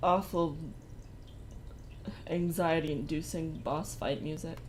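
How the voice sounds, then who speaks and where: A soft-spoken woman talks at a fairly slow pace. There is audible echo from the room. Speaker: streamer. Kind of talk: casual chat. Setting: live stream.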